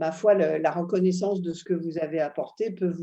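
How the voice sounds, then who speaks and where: At a moderate pace, a woman talks in a dark, mellow tone against a quiet background. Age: 70s. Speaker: psychoanalyst. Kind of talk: interview.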